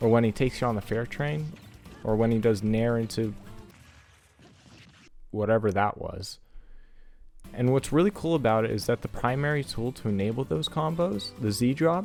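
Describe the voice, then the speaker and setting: Music plays in the background as a man speaks at a medium pitch and moderate pace. His intonation is lively, broken by long, frequent pauses. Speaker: video game content creator. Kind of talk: game tutorial narration.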